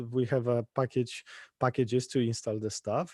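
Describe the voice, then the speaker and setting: With a Polish accent, a man speaks at a moderate pace and medium pitch in a dark, mellow tone, the sound dry and close with no echo. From Poland. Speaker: conference speaker, infrastructure engineer. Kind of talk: tech talk. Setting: live-streamed online meetup. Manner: halting, many stutters and restarts.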